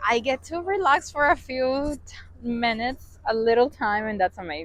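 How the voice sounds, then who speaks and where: A woman's fairly high voice in a Spanish accent. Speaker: travel vlogger. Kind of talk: travel vlog.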